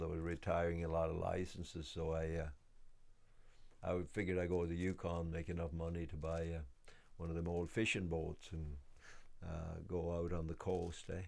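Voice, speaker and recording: With audible room echo, a man speaks at a moderate pace in a very deep, low pitch. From west of Ireland. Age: 60s. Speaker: homesteader and woodworker. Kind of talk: documentary interview. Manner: hesitant, many fillers.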